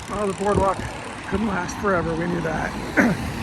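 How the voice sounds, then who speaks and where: Noticeable background noise and audible room echo are present. Through them, a man talks. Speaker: travel vlogger walking a pilgrimage. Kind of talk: casual vlog narration.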